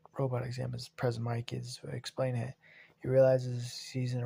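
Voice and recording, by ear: Someone is reading aloud in a natural voice.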